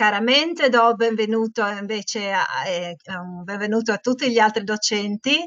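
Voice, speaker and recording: Against a quiet background, a woman with a non-native accent speaks at a fairly slow pace, her fairly high voice varying in pitch in an ordinary way. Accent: non-native Italian, admits it is shaky. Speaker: teacher leading a webinar for teachers; teacher trainer hosting webinar. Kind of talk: webinar presentation. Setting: online webinar. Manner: hesitant, many fillers. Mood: warm, friendly. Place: home room. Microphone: earbuds.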